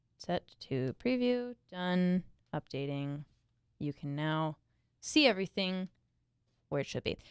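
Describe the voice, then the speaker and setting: Her pitch fairly low, a woman swings very widely in pitch and leaves long, frequent pauses. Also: fairly slow pace, dry, close sound with no echo. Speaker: tech news podcast co-host. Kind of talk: casual chat. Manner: quiet.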